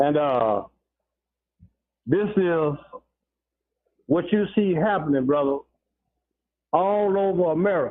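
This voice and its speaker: This man talks at a high pitch and a fairly slow pace. His loudness stays very even. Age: 60s. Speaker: caller. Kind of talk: radio call-in. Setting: phone call. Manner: halting, many fillers.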